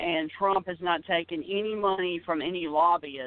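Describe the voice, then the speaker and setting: A man with an Alabama accent speaks in a high pitch. His intonation is fairly even and his pace moderate. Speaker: sports radio personality. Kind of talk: interview.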